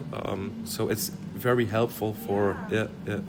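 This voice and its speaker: A man with a Dutch accent over noticeable background noise. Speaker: community center worker. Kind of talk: interview. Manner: halting.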